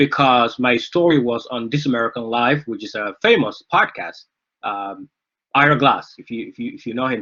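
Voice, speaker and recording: At a moderate pace, a man with a Somali accent speaks in a bright, sharp tone. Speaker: author. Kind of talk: book discussion talk. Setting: live online event. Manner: halting, many fillers.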